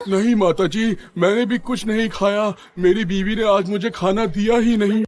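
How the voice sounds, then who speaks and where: In a cartoonish character voice, a man speaks high in pitch at a moderate pace with fairly even intonation. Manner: drowsy, whiny.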